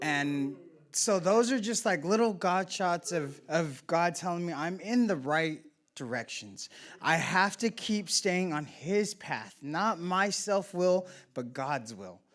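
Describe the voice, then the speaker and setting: In a very clean recording with a silent background, a man speaks loudly and very slowly, his high-pitched voice full of lively intonation. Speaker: member sharing at a recovery meeting. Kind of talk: personal testimony share.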